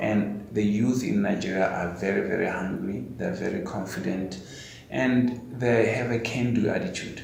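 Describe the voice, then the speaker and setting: A medium-pitched male voice with ordinary pitch variation at a moderate pace, amid audible room echo and noticeable background noise. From South Africa (Rustenburg, North West). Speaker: tech company executive. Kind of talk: interview. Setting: webinar.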